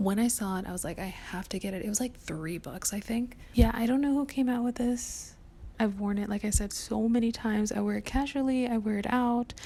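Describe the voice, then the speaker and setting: Whispering at a moderate pace, a woman sounds somewhat breathy. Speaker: lifestyle vlogger. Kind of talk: casual chat.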